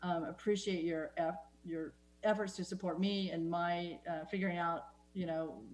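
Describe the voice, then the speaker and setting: In a room with audible echo, a woman talks at a fairly low pitch with fairly even intonation. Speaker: city council member. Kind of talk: council meeting remarks. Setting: video call. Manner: fast.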